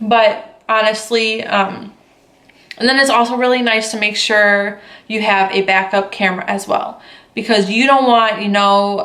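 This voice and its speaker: The speech is flat and monotone, with audible room echo. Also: woman. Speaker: photographer and vlogger. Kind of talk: casual vlog talk to camera. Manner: many fillers like um and like.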